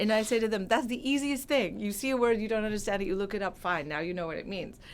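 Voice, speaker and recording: In an American accent and with audible room echo, a woman speaks very fast at a fairly high pitch. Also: ordinary pitch variation. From California. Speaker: translator and professor. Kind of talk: interview.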